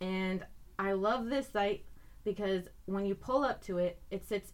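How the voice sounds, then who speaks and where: A woman at medium pitch speaks fairly slowly with an American accent and ordinary pitch variation. Hers is a normal speaking voice. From Iowa. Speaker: wildlife biologist. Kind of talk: casual chat. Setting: recording studio.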